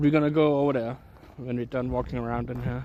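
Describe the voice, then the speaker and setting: A man is speaking. He has a Danish accent. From Denmark. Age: 30s. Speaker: IRL streamer. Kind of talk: casual live-stream chat. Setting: outdoors. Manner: hesitant, with frequent fillers.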